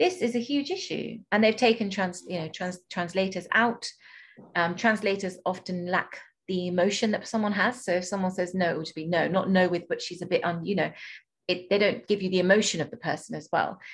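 Somewhat breathy, a woman speaks fairly quickly at a medium pitch with ordinary pitch variation. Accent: British. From UK. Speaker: podcast host and doula. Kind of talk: interview.

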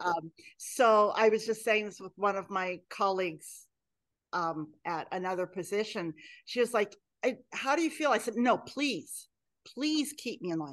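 A woman with an American accent and an ordinary speaking voice, medium in pitch, fairly slow in pace, lively in intonation, over a quiet background. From Oregon, Willamette Valley. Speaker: pastor. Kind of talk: interview.

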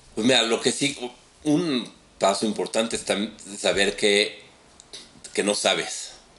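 With a Mexican accent and a bright, sharp tone, this voice moves at a fairly slow pace with long, frequent pauses, ordinary pitch variation and very even loudness. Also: man, medium pitch for a man. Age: 40s. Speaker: tech business director. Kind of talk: casual chat.

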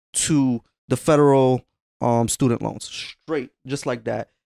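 On a very clean recording with a silent background, a man with an American accent uses an unremarkable speaking voice at medium pitch, with fairly even intonation and a fairly slow pace. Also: dry, close sound with no echo. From Waterbury, Connecticut. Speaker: podcast co-host. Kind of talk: casual chat.

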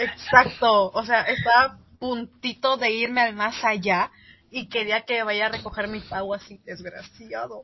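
Speaking fairly slowly in a flat, monotone way, a woman with a fairly high pitch lets her loudness swing widely. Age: 20s. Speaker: podcast co-host, law student. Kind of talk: casual chat.

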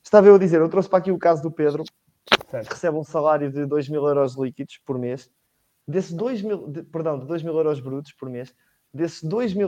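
Dark, mellow tone at a fairly quick pace, with ordinary pitch variation. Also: man. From Portugal, Leiria. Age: young. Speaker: economics student, panelist. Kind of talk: political discussion. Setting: online livestream.

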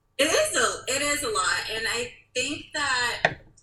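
A woman speaks with a bright, sharp tone. Room echo is audible. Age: 30s. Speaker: interior designer and multiple sclerosis patient. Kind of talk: casual interview chat.

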